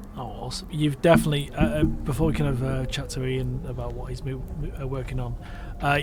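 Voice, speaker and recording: A man talks at a very fast pace with a northwest English accent. Noticeable background noise and audible room echo fill the recording. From northwest England. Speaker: podcast host. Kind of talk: casual interview chat.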